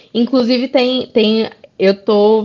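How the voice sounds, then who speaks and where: Delivered very slowly, the speech rises and falls with ordinary pitch variation. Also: woman. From Brazil, interior of Rio Grande do Norte (Currais Novos). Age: 30s. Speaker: illustrator and comics author. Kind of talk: casual interview.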